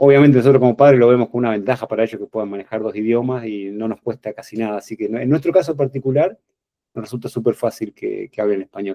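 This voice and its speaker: This man's voice sits at a medium pitch with ordinary pitch variation and races along at a very fast pace. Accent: Argentine. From Argentina, Buenos Aires province (Bragado). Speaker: interview guest, professional emigrant. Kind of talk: casual interview chat.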